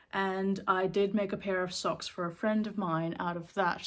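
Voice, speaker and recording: A woman's medium-pitched voice with a slight Sri Lankan accent, ordinary pitch variation and a fairly slow pace, in a very clean recording with a silent background. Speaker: knitting vlogger. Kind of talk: casual chat. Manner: casual, with many fillers.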